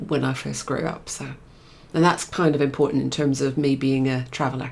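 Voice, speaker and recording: At a fairly quick pace, a woman speaks with fairly even intonation. Her pitch is very deep and low. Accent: English. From England, of Scottish parents. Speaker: guest sharing spiritual journey. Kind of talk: casual interview.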